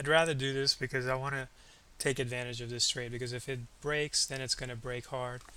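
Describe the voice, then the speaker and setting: The voice is quiet, with a bright, sharp tone. Its intonation is flat and monotone, and the pace is fairly quick. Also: man. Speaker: day trader. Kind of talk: live trading commentary. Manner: halting.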